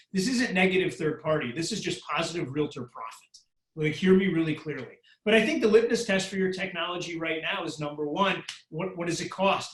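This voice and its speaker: A man speaks at a fairly quick pace with a high pitch. His loudness swings widely while his pitch varies in an ordinary way. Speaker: real estate tech speaker. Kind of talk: webinar Q&A. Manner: fast; animated.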